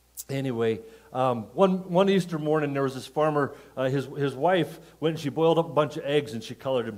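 A man talks at a very fast pace with lively intonation over a quiet background. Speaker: pastor. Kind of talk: sermon. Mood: jovial, telling jokes, laughing. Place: church. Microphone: headset.

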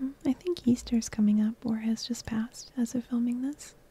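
A woman speaks at a fairly slow pace in a high voice, her intonation fairly even. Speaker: ASMR gameplay creator. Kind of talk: soft-spoken ASMR gameplay commentary. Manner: soft-spoken, relaxing.

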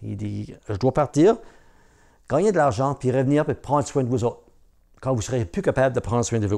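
Against a quiet background, a man with a dark, mellow tone speaks at a moderate pace with lively intonation and long, frequent pauses. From Newfoundland, Cap-Saint-Georges (Franco-Newfoundlander); Newfoundland. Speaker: storyteller. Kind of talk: oral storytelling. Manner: hesitant, many fillers. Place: home room.

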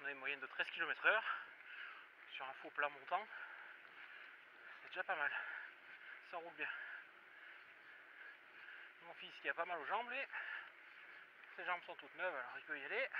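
With noticeable background noise, a high-pitched man talks at a fairly quick pace, his loudness swinging widely, in a dry recording with no echo. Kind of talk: casual vlog chat. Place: bicycle. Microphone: phone near.

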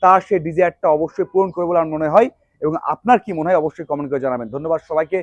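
A man speaks in a high voice with ordinary pitch variation. The sound is dry and close, with no echo. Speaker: sports journalist vlogger. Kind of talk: video commentary monologue.

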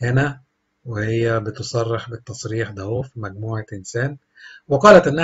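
Male speaker with an Egyptian accent, somewhat breathy, at a moderate pace. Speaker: celebrity news narrator. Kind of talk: scripted narration.

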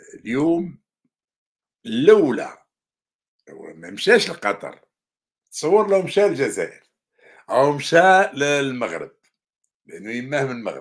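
A man with an Algerian accent speaks at a fairly slow pace, leaving long, frequent pauses. His loudness swings widely against a quiet background. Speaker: journalist and commentator; journalist, commentator. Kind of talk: news commentary monologue. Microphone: webcam.

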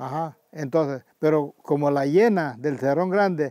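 Recorded dry with no echo against a quiet background, a man speaks at a fairly high pitch with a dark, mellow tone and ordinary pitch variation. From El Salvador, Chalatenango; El Salvador. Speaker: community elder and former farmer. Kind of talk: oral history interview. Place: garden.

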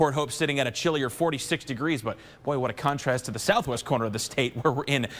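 The man speaks fairly quickly. His pitch moves up and down to an ordinary degree. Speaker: TV meteorologist. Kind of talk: weather forecast. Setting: TV studio. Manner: chatty, conversational forecaster. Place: studio.

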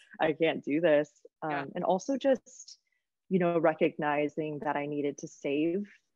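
A woman with an unremarkable speaking voice talks at a moderate pace and fairly low pitch in an American accent. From US Midwest, small-town Michigan. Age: 30s. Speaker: travel content creator. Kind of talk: casual interview.

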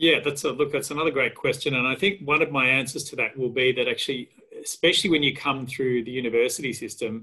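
Someone with an Australian accent speaks at a fairly quick pace against a quiet background. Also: man. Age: 50s. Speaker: historian; panelist. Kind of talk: career talk. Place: home room. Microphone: webcam.

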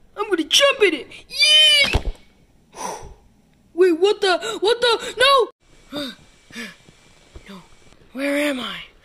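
This is a cartoonish character voice at an extremely high pitch. Its pitch swings are very wide. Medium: puppet show. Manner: excitable, silly, easily scared.

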